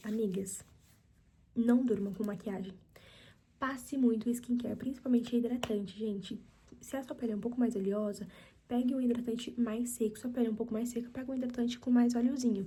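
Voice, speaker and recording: A woman with a fairly high pitch and a dark, mellow tone talks at a fairly quick pace. Long, frequent pauses break up her speech. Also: fairly even intonation. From Brazil, São Paulo (Mauá, ABC region). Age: 20s. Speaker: ASMR youtuber. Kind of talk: casual Q&A chat. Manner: soft, ASMR-style.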